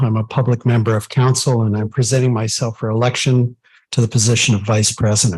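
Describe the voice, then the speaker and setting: At a fairly quick pace, a man with a medium-pitched, somewhat breathy voice speaks with fairly even intonation. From Ontario, Franco-Ontarian. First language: French. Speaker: council member, engineer. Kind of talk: formal self-introduction at council meeting. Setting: council meeting, in person and live-streamed. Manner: formal.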